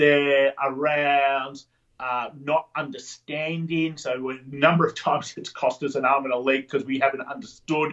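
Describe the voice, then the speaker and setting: At a moderate pace, a man with a fairly high pitch talks in a monotone, flat intonation. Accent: Australian. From Sydney, Australia. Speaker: entrepreneur, referral marketing trainer. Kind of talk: podcast interview answer.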